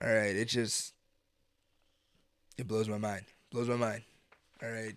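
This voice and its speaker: The man speaks at a fairly slow pace. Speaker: podcast host. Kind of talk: solo podcast monologue. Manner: casual, filler-heavy.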